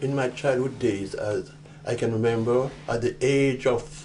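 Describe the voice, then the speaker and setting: Music plays in the background. Over it, a man speaks at a fairly slow pace. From Jamaica. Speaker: war veteran. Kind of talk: oral history interview. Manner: halting, many repetitions.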